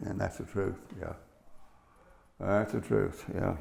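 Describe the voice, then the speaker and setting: A man with an Appalachian accent and vocal fry, at a moderate pace. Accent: Appalachian Southern US. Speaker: interviewee, relative of former sheriff. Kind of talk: oral history interview.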